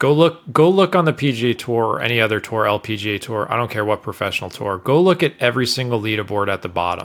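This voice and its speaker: The recording is very clean, with a silent background. A man speaks at a medium pitch in a bright, sharp tone, with lively intonation and a fairly quick pace. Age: 40s. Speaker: golf author and coach. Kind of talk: casual interview.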